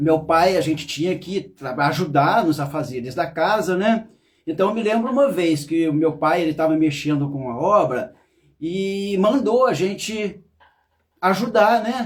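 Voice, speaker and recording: A man with a high-pitched voice speaks at a fairly slow pace, his intonation lively. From Brazil, interior of Rio de Janeiro state. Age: 60s. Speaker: therapist. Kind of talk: personal testimony. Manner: halting, with self-corrections.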